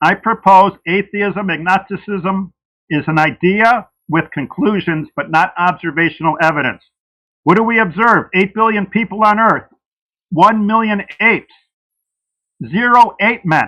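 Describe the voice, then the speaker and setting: A man's high-pitched, bright and sharp voice, raised and projected, at a fairly slow pace with long, frequent pauses and ordinary pitch variation. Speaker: creationist debater. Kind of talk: debate opening statement. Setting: livestream debate.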